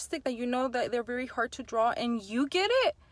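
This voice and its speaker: A woman speaks loudly in a high pitch at a moderate pace. Noticeable background noise is present. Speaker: phlebotomist and YouTuber. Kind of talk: casual vlog talk to camera. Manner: animated.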